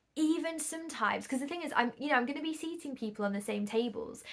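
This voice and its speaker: A woman speaks with a northern English accent. Her pitch variation is ordinary. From northern England. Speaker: podcast host and singles event organiser. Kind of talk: solo podcast monologue. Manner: conversational.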